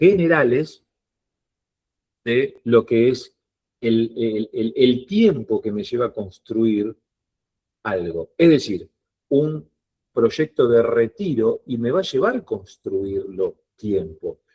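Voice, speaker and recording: With a dry, close sound and no echo, a man speaks at a medium pitch in a dark, mellow tone, very slowly and with long, frequent pauses, his pitch swinging very widely. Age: 50s. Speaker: financial advisor. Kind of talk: online workshop talk.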